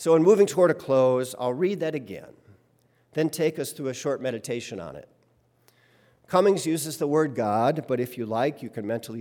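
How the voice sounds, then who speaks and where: In a very clean recording with a silent background, a man speaks at a moderate pace in a normal speaking voice. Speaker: worship leader. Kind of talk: sermon; poetic reading aloud of a hymn text, devotional. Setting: church. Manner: measured, reverent, lyrical pacing; humorous, conversational, warm.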